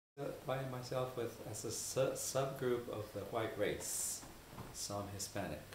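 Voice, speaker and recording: A man speaks at a fairly slow pace with a medium pitch, fairly even intonation and a somewhat breathy quality, amid audible room echo. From central Mexico, rural. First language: Spanish. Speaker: interviewee. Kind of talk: interview. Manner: halting, many fillers.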